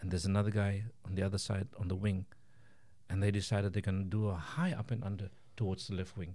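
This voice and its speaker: A somewhat breathy man at a fairly low pitch and a very fast pace. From South Africa, Cape Town. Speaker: chef and pie maker. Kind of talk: casual interview.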